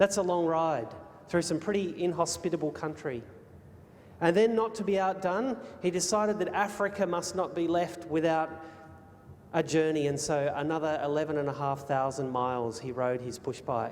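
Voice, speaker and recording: Someone with an Australian accent speaks with ordinary pitch variation against noticeable background noise. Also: man, fairly high pitch for a man, moderate pace. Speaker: speaker. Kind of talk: public talk. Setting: hotel ballroom with audience. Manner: animated.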